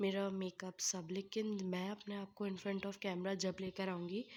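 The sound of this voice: Her medium-pitched voice has a slightly mellow tone, as the woman speaks at a fairly slow pace with little pitch movement.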